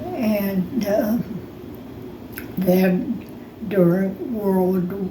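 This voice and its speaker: Ordinary pitch variation in an American accent, with noticeable background noise. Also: woman, medium pitch for a woman. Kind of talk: reminiscing interview answer. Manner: slow, hesitant.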